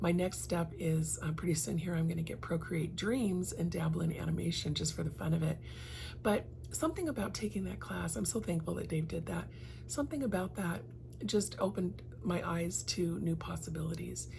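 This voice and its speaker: A woman speaks at a fairly quick pace. There is audible room echo. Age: 60s. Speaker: lifestyle vlogger and realtor. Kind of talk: personal reflection vlog. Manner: conversational, with frequent fillers.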